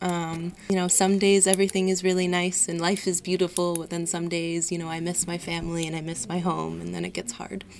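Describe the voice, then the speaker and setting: A woman with an American accent talks at a fairly quick pace in a fairly low voice. Her intonation stays fairly even, and background noise is noticeable. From US, Washington DC. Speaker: student. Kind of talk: interview. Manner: hesitant, many fillers.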